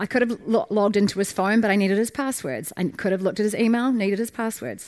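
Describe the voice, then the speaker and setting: A woman talks very fast with a New Zealand accent and a fairly high pitch. The recording is very clean, and the background is silent. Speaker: startup founder. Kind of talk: conference talk. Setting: stage with audience.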